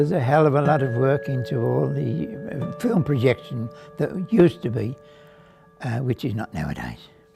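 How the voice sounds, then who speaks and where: Over music in the background, a man with a medium pitch speaks at a moderate pace using lively intonation. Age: 80s+. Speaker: cinema projectionist. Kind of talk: interview answer.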